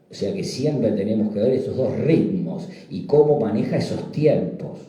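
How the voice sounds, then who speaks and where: Audible room echo and noticeable background noise accompany a man who talks fairly slowly. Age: 60s. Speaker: psychiatrist presenting a book. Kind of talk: book presentation talk. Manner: halting, repetitive fillers.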